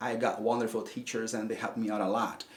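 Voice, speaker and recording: This man speaks with a Brazilian Portuguese accent and ordinary pitch variation. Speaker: English teacher. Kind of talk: tutorial. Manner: halting, repeats words.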